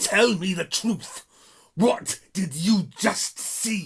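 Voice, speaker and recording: Putting on a character voice, a man speaks very slowly at a high pitch with lively intonation. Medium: read story. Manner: impatient.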